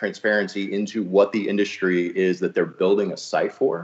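The speaker has an ordinary speaking voice with an American accent. The pace is moderate. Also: man. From New Jersey, Hudson County. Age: 40s. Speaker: audiobook publishing executive. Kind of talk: casual chat.

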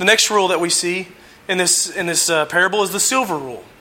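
Pitch moves up and down in a normal way. The speaker projects, with the voice raised. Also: man. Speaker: lay preacher. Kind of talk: sermon. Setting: church. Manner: halting, frequent fillers.

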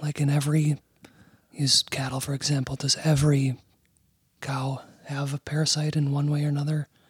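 Whispering in a somewhat breathy voice, a man speaks at a fairly quick pace with long, frequent pauses, and the sound is dry and close with no echo. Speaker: podcast co-host.

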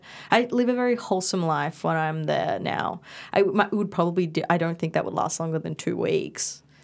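This is a very clean recording with a silent background. A woman with an Australian accent speaks at a fairly quick pace. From Perth, Western Australia (early childhood in Bali). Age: 20s. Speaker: dispute resolution officer and writer. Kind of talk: casual interview chat.

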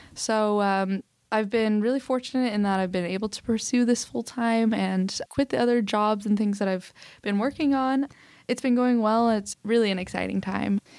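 A woman with an American accent and an ordinary speaking voice talks at a moderate pace, her fairly high pitch showing ordinary variation, in a very clean recording with a silent background. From Oklahoma City, US. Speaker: social entrepreneur. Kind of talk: interview conversation.

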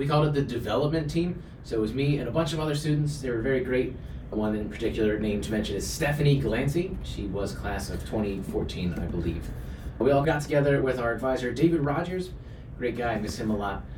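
This man talks at a very fast pace with lively intonation and a medium pitch. The recording has audible room echo and noticeable background noise. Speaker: university staff and club advisor. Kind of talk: interview.

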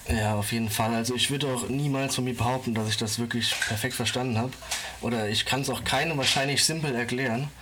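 A man talks very fast at a medium pitch, his intonation fairly even and his loudness very even. Noticeable background noise and audible room echo surround him. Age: 20s. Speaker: finance social media creator and public sector employee. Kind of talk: casual interview. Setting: remote internet recording.

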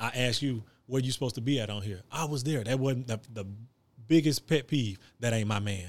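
On a very clean recording with a silent background, a man of medium pitch talks at a fairly quick pace with ordinary pitch variation. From Texas, Gulf Coast (Hitchcock). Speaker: basketball coach, former college player. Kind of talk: casual interview.

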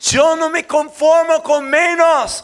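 Noticeable background noise surrounds a man's animated tone. He uses a raised, projected voice. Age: 60s. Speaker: pastor. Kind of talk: sermon.

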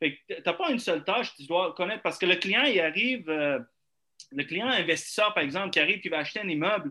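A man's high-pitched voice, fairly quick in pace, with lively intonation. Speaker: real estate broker. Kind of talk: casual chat.

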